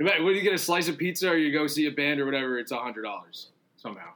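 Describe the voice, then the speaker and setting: A man with an American accent, a bright, sharp tone and fairly high pitch, ordinary pitch variation, a very fast pace and long, frequent pauses. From New York City, Staten Island. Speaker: fiction writer and musician. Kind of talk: casual chat.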